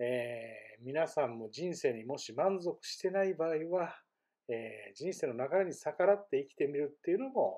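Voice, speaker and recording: A man talks at a fairly high pitch and a moderate pace. His voice shows very wide pitch swings and big swings in loudness. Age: 50s. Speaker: vlogger. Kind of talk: personal vlog monologue. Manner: frequent fillers.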